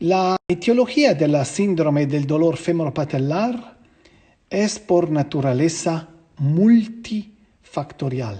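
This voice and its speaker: A very slow voice with a non-native accent, a dark, mellow tone and lively intonation. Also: man, high pitch for a man. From Switzerland. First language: Swiss language (German, French or Italian) (speaking Spanish). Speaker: physiotherapy instructor. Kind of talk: online lecture. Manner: halting, with filler sounds.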